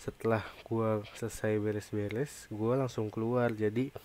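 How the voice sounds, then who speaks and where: Dark and mellow in tone, a man speaks fairly slowly in a flat monotone, the sound dry with no echo. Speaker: gamer youtuber. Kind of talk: casual gaming commentary. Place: home room.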